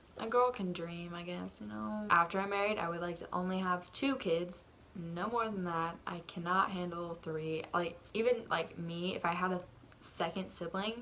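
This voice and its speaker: The speaker is soft-spoken, with a bright, sharp tone. Intonation is lively and the pace is moderate. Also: woman, fairly low pitch for a woman. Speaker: vlogger. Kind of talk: casual chat. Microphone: audio turned up because quiet.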